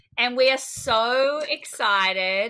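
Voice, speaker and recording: Bright and sharp in tone, a woman with an Australian accent talks at a fairly high pitch with lively intonation. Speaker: podcast co-host. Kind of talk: casual interview chat.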